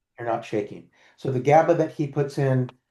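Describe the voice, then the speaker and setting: This voice belongs to a man. It sits at a medium pitch. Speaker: nutritionist. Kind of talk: casual chat. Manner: fast.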